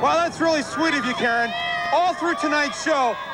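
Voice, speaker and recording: The voice is raised and projected. Noticeable background noise can be heard. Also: man. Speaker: TV host. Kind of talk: TV show host link.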